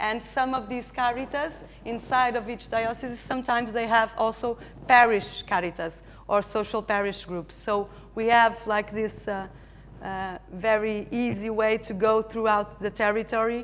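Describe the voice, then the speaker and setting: This woman talks at a moderate pace with a Portuguese accent. Her pitch is fairly high and her intonation fairly even. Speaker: charity representative. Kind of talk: conference presentation. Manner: halting.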